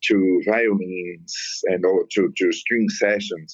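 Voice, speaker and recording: This man speaks with a non-native accent. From Brazil. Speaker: musician and composer. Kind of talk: interview. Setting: phone call. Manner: halting.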